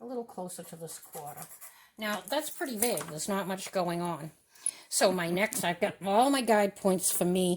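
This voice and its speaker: A woman's loud, medium-pitched voice at a moderate pace, with ordinary pitch variation. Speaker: artist teaching a drawing demo. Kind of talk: tutorial demonstration.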